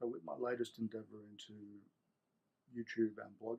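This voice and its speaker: A man with an Australian accent speaks at a moderate pace in a fairly low pitch with fairly even intonation. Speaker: Apple technical support specialist. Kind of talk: casual talk to camera.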